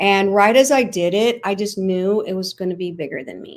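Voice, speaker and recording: At a moderate pace, a woman with an American accent speaks in an unremarkable speaking voice of medium pitch and fairly even intonation, on a very clean recording with a silent background. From US Midwest, St. Louis, Missouri. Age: 60s. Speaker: dancer and skincare entrepreneur. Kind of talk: interview conversation.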